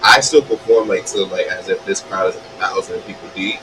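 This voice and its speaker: Background noise is easy to hear while a man rattles off his words very fast. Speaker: independent singer. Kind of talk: interview. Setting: live online show. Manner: casual, filler-heavy.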